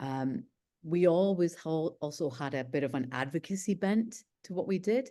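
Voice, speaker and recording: In a Scottish accent, a woman speaks with a dark, mellow tone against a quiet background. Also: fairly low pitch for a woman, moderate pace. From UK, studied in Scotland. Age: 40s. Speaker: nuclear policy expert, think tank director. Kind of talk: online panel interview. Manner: hesitant, many fillers.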